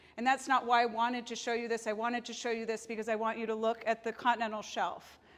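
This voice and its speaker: Very fast, monotone delivery with flat intonation over a quiet background. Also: woman, fairly high pitch for a woman. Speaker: marine biologist giving a talk; seabird guide giving a talk. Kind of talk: presentation. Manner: loud. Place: meeting room. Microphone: lapel.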